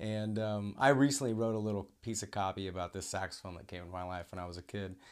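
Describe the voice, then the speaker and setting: Fairly quick and fairly low-pitched, a man with an American accent has an unremarkable speaking voice and ordinary pitch variation on a very clean recording with a silent background. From Oklahoma. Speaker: podcast host. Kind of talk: casual chat.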